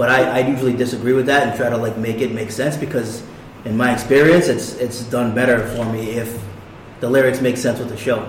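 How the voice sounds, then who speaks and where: Over noticeable background noise, a man speaks at a fairly quick pace and medium pitch in a monotone, flat intonation. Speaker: hip hop artist. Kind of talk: casual chat. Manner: soft-spoken.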